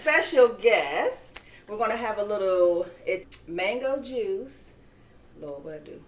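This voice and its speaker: Over noticeable background noise, a fairly high-pitched woman speaks at a very slow pace with very wide pitch swings and big swings in loudness. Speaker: podcast host. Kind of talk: casual podcast talk.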